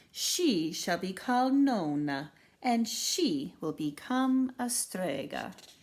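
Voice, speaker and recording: Using a put-on character voice, a woman speaks at a very slow pace with very wide pitch swings. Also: medium pitch for a woman. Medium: read story. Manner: confident, warm.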